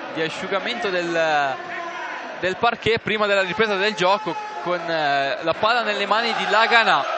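Over crowd noise and audible room echo, a man uses a raised, projected voice, high for a man, with ordinary pitch variation, a moderate pace and long, frequent pauses. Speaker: basketball play-by-play commentator. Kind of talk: live commentary.

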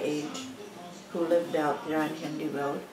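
A woman with an American accent, clear music in the background. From Jackson, Michigan. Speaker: grandmother interviewed about family history. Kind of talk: interview answer. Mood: calm, reminiscing. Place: home room.

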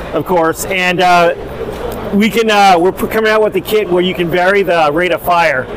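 In a dry recording with no echo and light background noise, a man with a high voice speaks at a moderate pace with fairly even intonation. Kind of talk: interview answer. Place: hall. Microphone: phone near.

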